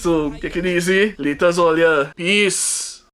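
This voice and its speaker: A man with a Trinidadian accent speaks at a high pitch while music plays in the background. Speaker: vlogger and musician. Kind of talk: casual storytelling vlog. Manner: casual, filler-heavy.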